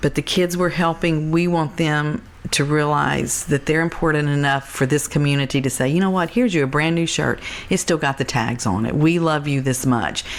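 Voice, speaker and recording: At a moderate pace, a woman's very deep, low voice carries ordinary pitch variation while noticeable background noise sits behind her. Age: 60s. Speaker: charity founder. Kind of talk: interview conversation.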